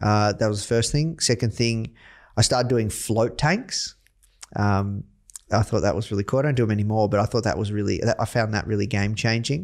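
Very clean and set against a silent background, this recording carries a fairly quick voice with an Australian accent. Its loudness stays very even, and its pitch varies an ordinary amount. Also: man, fairly low pitch for a man. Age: 30s. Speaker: entrepreneur, company CEO. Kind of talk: interview.

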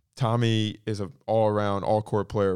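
A man with an American accent speaks at a fairly slow pace in a flat monotone, his pitch fairly low, on a very clean recording with a silent background. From North Florida. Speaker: professional tennis player. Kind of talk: interview.

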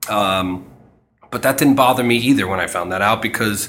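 A man is speaking. He talks with a New York accent. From New York City, Queens. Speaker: marketing agency co-founder. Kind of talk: interview. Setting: in person at his company's space. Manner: hesitant with fillers.

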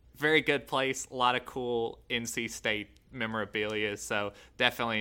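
Fairly low in pitch, a man with an American accent has a bright, sharp tone and fairly even intonation. The recording is very clean, with a silent background. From Texas. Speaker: journalism intern. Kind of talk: casual chat.

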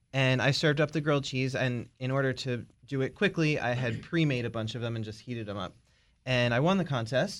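A man's normal speaking voice with an American accent, medium in pitch, at a fairly quick pace with ordinary pitch variation, over a quiet background. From Maryland, Baltimore area. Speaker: bread business owner. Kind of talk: casual interview. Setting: studio.

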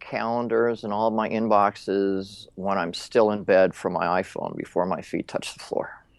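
With an unremarkable speaking voice, a man talks at medium pitch and a moderate pace, with fairly even intonation and hardly any pauses. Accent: American. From Minnesota. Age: 50s. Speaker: LinkedIn expert. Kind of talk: interview.

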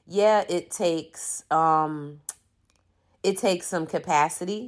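With an American accent, a woman has a plain, everyday voice at a fairly low pitch, captured in a very clean recording against a silent background. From Philadelphia, Pennsylvania, US. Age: 50s. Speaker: diversity consultant. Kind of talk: personal monologue.

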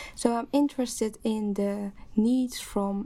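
A somewhat breathy woman with a Dutch accent, fairly high pitch, a dark, mellow tone and fairly even intonation, on a very clean recording with a silent background. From Netherlands. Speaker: PhD student, sociologist. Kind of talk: casual panel discussion.

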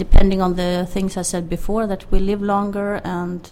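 With a Swedish accent, a woman talks at a moderate pace in a monotone, flat intonation. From Sweden. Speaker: healthcare IT expert. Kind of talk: interview.

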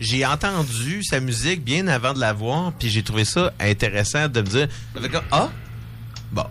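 Over noticeable background noise, a man talks at a fairly slow pace with long, frequent pauses. His pitch is medium and his intonation lively. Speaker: radio show guest. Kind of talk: casual chat.

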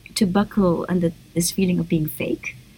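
A woman talks at a fairly quick pace with a medium pitch. Noticeable background noise is present. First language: Indonesian. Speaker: novelist and poet. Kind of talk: interview.

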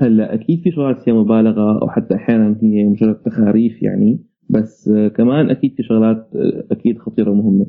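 A man with a normal speaking voice talks at a fairly quick pace. His pitch is medium. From Syria, Homs (childhood in Saudi Arabia). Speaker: digital media manager and tech commentator. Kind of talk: casual radio interview.

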